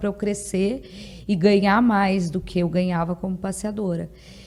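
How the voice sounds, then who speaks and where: In a southern Brazilian accent, a woman with a medium pitch and a dark, mellow, somewhat breathy tone speaks at a moderate pace with fairly even intonation. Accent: gaúcho accent, noticeable. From Rio Grande do Sul, southern Brazil. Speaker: dog trainer. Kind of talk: podcast interview. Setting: podcast studio.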